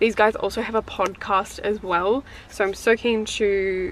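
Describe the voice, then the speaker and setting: Noticeable background noise around a medium-pitched woman's voice. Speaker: tarot reader and witchy content creator. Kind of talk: casual haul video talk. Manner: casual, many fillers like um and like.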